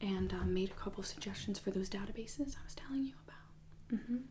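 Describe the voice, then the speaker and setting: Noticeable background noise is present. The speech keeps a moderate pace. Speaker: ASMR creator playing a college English professor. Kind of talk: ASMR roleplay as an English professor in office hours, personal attention. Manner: soft-spoken, whispered, relaxing.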